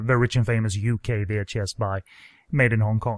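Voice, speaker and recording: A man speaks at a moderate pace and medium pitch in an unremarkable speaking voice. The sound is dry and close with no echo, over a quiet background. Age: 30s. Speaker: film podcast host. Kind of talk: casual chat.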